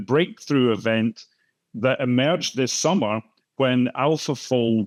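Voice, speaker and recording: Recorded with a dry, close sound and no echo, a man speaks at a fairly slow pace and a medium pitch. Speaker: moderator, professor of biochemistry. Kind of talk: panel discussion moderation. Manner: hesitant, many fillers and repetitions.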